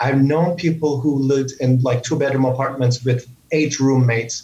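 The speaker has a Turkish accent. The intonation is fairly even. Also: man. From Turkey. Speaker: leadership coach. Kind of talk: interview. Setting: video call.

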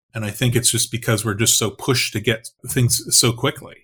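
On a very clean recording with a silent background, a man speaks fairly quickly at a medium pitch, his voice somewhat breathy. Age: 50s. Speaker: ghostwriter and author. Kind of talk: casual interview.

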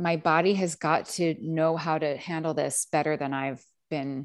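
Against a quiet background, a woman with an unremarkable speaking voice and fairly low pitch talks at a fairly slow pace. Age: 30s. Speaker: podcast host and author. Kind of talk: casual chat; solo monologue.

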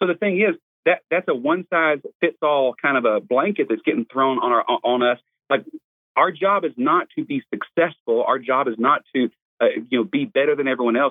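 A man with a fairly high pitch and an unremarkable speaking voice talks at a moderate pace, his intonation lively and his loudness very even. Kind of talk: interview conversation.

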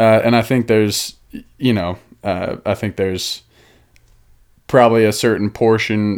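A man with an American accent and a normal speaking voice, at a fairly low pitch and a moderate pace, with fairly even intonation, on a very clean recording with a silent background. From Denver/Boulder, Colorado, US. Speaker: podcast host. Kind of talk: casual chat.

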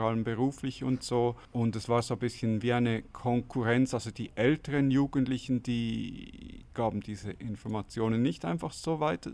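A man's plain, everyday voice, medium in pitch, with fairly even intonation at a moderate pace. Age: 40s. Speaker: interviewee. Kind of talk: interview answer.

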